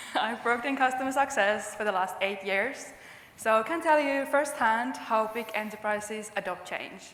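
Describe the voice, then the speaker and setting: With a Finnish accent and fairly high pitch, a woman speaks at a moderate pace over noticeable background noise. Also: ordinary pitch variation. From Finland. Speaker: customer success manager. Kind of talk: conference presentation.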